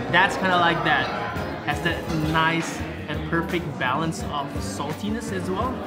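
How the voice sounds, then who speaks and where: A man at a very slow pace, loud music in the background. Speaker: food vlogger. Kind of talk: food review commentary. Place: cafe.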